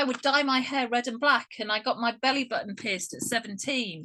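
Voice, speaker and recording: Loud and high-pitched for a woman, she speaks at a moderate pace with an English accent, a bright, sharp tone and ordinary pitch variation. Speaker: guest. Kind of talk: casual chat. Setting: video call.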